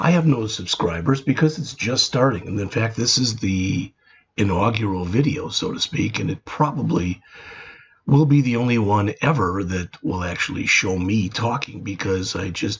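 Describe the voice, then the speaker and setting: Somewhat breathy, a man speaks at a moderate pace with a fairly low pitch and lively intonation. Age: 60s. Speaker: retired programming instructor. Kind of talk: casual video introduction.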